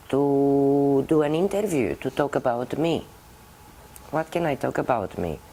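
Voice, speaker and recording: A woman with a Romanian accent speaks in a very deep, low pitch, her tone dark and mellow and her intonation lively. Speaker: puppeteer. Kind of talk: interview.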